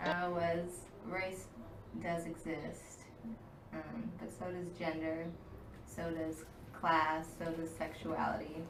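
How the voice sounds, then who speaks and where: Very slow and flat, a woman's fairly low voice comes with long, frequent pauses and noticeable background noise. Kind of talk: academic-style talk on race, gender and class.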